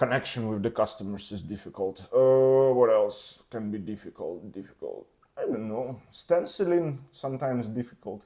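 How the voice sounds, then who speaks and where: At a moderate pace with hardly any pauses, this speaker with a Russian accent has a dark, mellow tone, ordinary pitch variation and big swings in loudness. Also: man, medium pitch for a man. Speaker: tattoo artist. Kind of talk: casual interview. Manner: halting.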